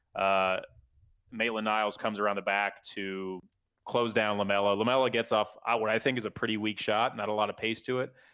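At a fairly quick pace, a man speaks in a monotone, flat intonation with a fairly low pitch. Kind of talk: casual chat. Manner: conversational, analytical.

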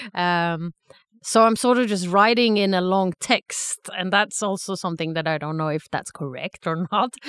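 A woman with a Swedish accent speaks at a moderate pace and a medium pitch, with ordinary pitch variation. The sound is dry and close, with no echo. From Sweden, Stockholm. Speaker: aspiring stand-up comedian. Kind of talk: casual chat. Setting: studio.

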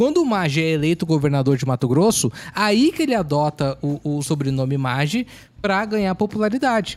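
The recording is very clean, with a silent background. A man talks at a moderate pace, his pitch swinging very widely. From Porto Alegre, southern Brazil. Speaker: podcast guest. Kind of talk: casual chat.

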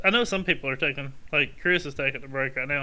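A man speaks at a fairly quick pace with a bright, sharp tone. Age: 40s. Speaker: disc golf podcast co-host. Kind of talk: casual chat.

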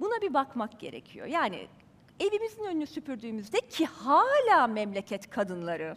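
A woman speaks in an animated tone at a moderate pace. Her pitch swings very widely. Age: 50s. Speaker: journalist. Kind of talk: talk to a live audience. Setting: stage with audience.

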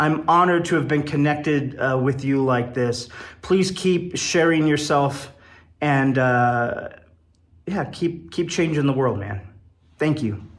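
Somewhat breathy and fairly high in pitch, a man talks at a fairly slow pace with ordinary pitch variation amid audible room echo. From Wyoming, US. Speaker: poet and improv comedian. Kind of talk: recorded personal message.

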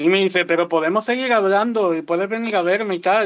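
The man moves at a moderate pace, and his pitch varies in an ordinary way. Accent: Andalusian. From Andalusia, Seville province town. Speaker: content creator. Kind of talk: casual chat.

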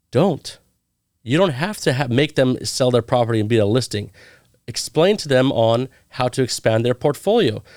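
A man with an American accent, an ordinary speaking voice, medium pitch and lively intonation at a moderate pace, on a very clean recording with a silent background. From US West Coast (Orange County, California). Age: 30s. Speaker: real estate agent, Navy veteran. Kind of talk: casual interview.

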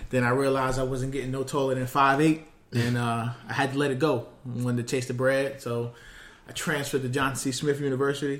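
A man with a New York accent speaks at a fairly quick pace in a medium pitch, his intonation flat and monotone. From New York, Queens. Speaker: basketball scout and podcast host. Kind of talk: casual chat.

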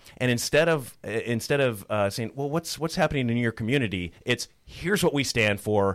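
Lively in intonation, a man with an Upper Midwest accent comes through in a very clean recording with a silent background. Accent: Upper Midwest (Minnesota). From rural Minnesota, Otter Tail County. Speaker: political candidate, former broadcaster. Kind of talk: radio interview. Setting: radio studio.

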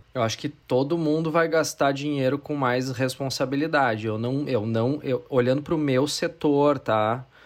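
A plain, everyday voice at a moderate pace, with fairly even intonation and hardly any pauses. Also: man, fairly high pitch for a man. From Brazil, interior of Rio Grande do Sul. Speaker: advertising executive. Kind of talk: casual interview.

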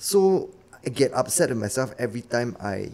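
Speaking with a Singaporean accent, a man uses a medium pitch at a fairly slow pace. His pitch swings very widely. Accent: Singaporean English (Singlish). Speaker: actor. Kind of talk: casual chat.

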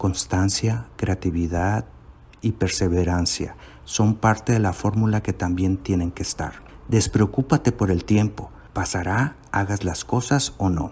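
Fairly low in pitch and somewhat breathy, a man speaks at a fairly slow pace. His pitch varies in an ordinary way. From Mexico, Mazatlán (Sinaloa). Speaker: self-help coach. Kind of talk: self-help course lesson.

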